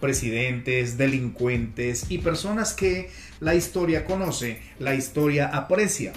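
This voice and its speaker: Against music in the background and audible room echo, a man with a fairly high pitch speaks at a very slow pace with lively intonation. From Peru. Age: 50s. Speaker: podcast host, communication coach. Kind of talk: motivational talk.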